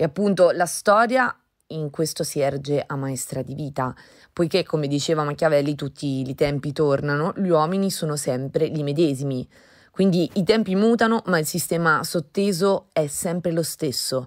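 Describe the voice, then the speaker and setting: A woman's very deep, low voice with ordinary pitch variation at a moderate pace, on a very clean recording with a silent background. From Umbria, Italy. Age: 30s. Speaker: artist. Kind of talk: artist statement monologue. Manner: formal.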